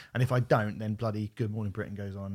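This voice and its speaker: This man has a southern English accent. His voice is fairly low in pitch. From southern England, Portsmouth. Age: 30s. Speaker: podcast host. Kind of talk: casual chat.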